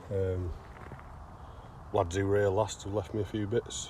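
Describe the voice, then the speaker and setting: Speaking at a fairly slow pace, a man with a strong Derbyshire accent has a fairly low-pitched voice. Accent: broad Derbyshire. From England, Derbyshire. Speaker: bottle digger vlogger. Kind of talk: casual vlog narration. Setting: outdoors.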